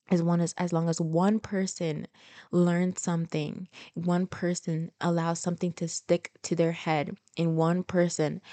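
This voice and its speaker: The recording has a dry, close sound with no echo as a woman talks at a fairly slow pace and a fairly low pitch. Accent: American. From Florida, US (Haitian family). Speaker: podcast host. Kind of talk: casual monologue. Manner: talkative. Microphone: new microphone.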